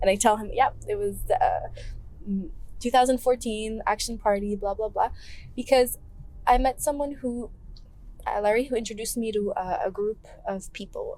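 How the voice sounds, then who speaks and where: A woman's voice, fairly high in pitch, with ordinary pitch variation, a moderate pace and long, frequent pauses. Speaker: political candidate. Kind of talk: casual chat. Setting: in a car. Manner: soft-spoken; quiet.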